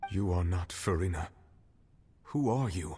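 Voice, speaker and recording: This is a put-on character voice. Its pitch is very deep and low. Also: moderate pace. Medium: video game. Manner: terse, questioning.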